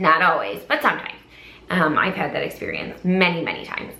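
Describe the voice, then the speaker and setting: Noticeable background noise beneath a fairly quick delivery. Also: woman. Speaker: charity auctioneer. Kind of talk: casual talk to camera, advice video.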